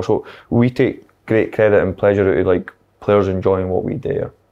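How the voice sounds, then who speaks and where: A man with a Scottish accent speaks at a fairly low pitch. His intonation is monotone and flat. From Scotland. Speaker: football manager; guest. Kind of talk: casual chat. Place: meeting room.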